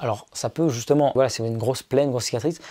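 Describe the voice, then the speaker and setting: The man's voice rests at a medium pitch, with pitch variation that is ordinary. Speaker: YouTuber. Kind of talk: casual tutorial vlog. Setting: his bedroom. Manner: fast; casual, filler-heavy.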